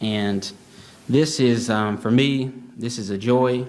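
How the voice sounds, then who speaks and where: Audible room echo surrounds a man speaking in a Southern US accent with fairly even intonation. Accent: Southern US drawl. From Alabama. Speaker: author and history researcher. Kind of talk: conference talk. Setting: stage with audience. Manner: hesitant, many fillers.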